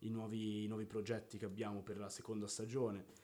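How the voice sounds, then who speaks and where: A man's dark, mellow voice at medium pitch and a fairly quick pace. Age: 20s. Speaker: podcast co-host. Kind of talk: casual chat. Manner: animated.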